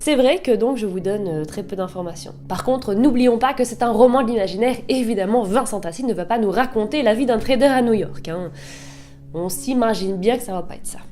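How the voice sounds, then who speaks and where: Over music in the background and with audible room echo, a woman at a fairly high pitch speaks at a moderate pace with very wide pitch swings. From northern France. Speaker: booktuber. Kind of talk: book review vlog. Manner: casual, chatty.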